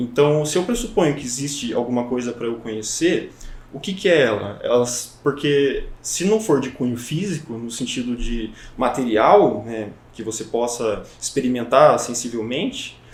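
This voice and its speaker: The voice is somewhat breathy, with ordinary pitch variation and big swings in loudness. It moves at a fairly slow pace, with audible room echo. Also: man, medium pitch for a man. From Brazil, São Paulo state (Avaré). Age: 20s. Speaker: psychology student. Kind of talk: podcast interview. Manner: hesitant, many fillers.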